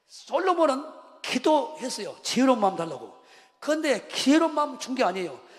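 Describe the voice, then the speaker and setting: Noticeable background noise runs under this recording. A man talks at a fairly quick pace with an extremely high pitch. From Jeolla region, Korea. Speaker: pastor. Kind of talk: sermon. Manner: animated.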